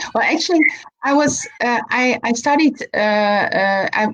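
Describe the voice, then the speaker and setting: In a Dutch accent, a woman talks with lively intonation. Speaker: animal physiotherapist. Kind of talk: live video chat interview. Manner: halting.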